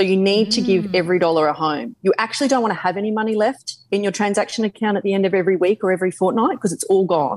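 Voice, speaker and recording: Speaking at a very fast pace in an Australian accent, a woman keeps a medium pitch with ordinary pitch variation. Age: 40s. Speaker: finance adviser. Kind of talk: interview.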